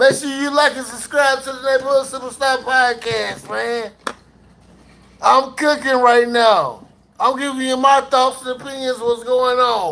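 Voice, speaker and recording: A man's extremely high, raised and projected voice, fairly slow, with fairly even intonation and big swings in loudness. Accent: American. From US. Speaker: podcast host, military veteran. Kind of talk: livestream commentary. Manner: casual, profane.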